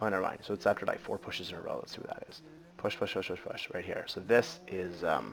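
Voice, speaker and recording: With music in the background, a man speaks at a very fast pace, his loudness swinging widely. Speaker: malware analysis instructor. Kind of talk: live screen-share tutorial. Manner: thinking aloud, hesitant with fillers.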